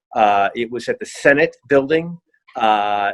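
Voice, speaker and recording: A man with an American accent, medium pitch, moderate pace and ordinary pitch variation. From United States. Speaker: hospitality executive. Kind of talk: interview. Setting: video call. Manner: hesitant, many fillers.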